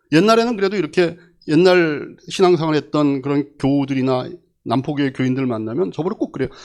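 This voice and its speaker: A man with an unremarkable speaking voice talks at a fairly quick pace. His pitch is fairly high and his intonation lively. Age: 60s. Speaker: pastor. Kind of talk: sermon.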